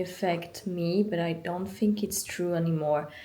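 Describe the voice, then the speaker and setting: A woman's dark, mellow tone comes with fairly even intonation and audible room echo. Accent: French. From France. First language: French. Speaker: vlogger. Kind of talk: casual chat.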